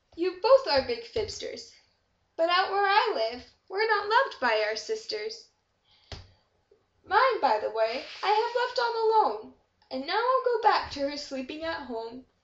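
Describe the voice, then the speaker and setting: A woman puts on a character voice at an extremely high pitch. She moves at a moderate pace, and her pitch swings very widely. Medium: read story. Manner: roaring, booming.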